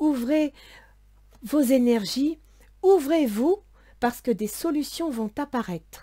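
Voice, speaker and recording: A soft-spoken woman's high, dark and mellow voice with lively intonation. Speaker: tarot and astrology reader. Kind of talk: tarot reading for viewers. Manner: soft, quiet voice.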